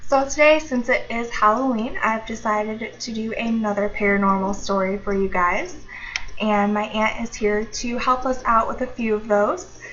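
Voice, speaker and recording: A woman with a fairly high voice talks at a moderate pace, her pitch varying in an ordinary way over noticeable background noise. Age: 20s. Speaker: YouTuber. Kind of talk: casual talk to camera.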